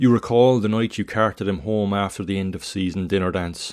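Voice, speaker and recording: In an ordinary speaking voice, a man speaks at a fairly quick pace with fairly low pitch and fairly even intonation. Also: very clean recording, silent background. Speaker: podcast host and writer reading own work. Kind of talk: literary story reading, second-person narration of a tragedy. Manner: measured, solemn, expressive reading.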